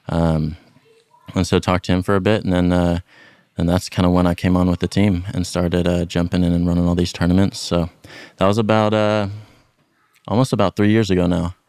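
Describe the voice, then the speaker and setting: A man's very deep, low voice with an American accent, monotone, flat intonation, very even loudness and long, frequent pauses. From Texas, Dallas area. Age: young. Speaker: golf brand tournament director. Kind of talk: casual chat.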